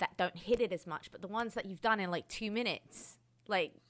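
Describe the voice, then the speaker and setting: In a London accent, a woman speaks with an animated tone at a moderate pace on a very clean recording with a silent background. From England, south London. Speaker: DJ and interviewer. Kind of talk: interview.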